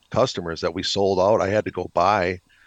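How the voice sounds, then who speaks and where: In an Upper Midwest accent, a man speaks with a dry, close sound and no echo. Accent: Upper Midwest (Minnesota). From Minnesota. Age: 60s. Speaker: retired military officer and pig farmer. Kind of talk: casual interview. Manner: halting, many repetitions.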